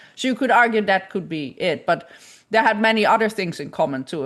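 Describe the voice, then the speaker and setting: Against a quiet background, a woman speaks with a Dutch accent and lively intonation. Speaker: image forensics scientist. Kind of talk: lecture Q&A discussion. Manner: halting.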